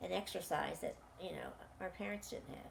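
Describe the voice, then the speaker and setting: A woman with an American accent, against noticeable background noise. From US Mid-Atlantic, Washington DC. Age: 80s+. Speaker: interviewee recounting her life. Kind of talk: life story interview.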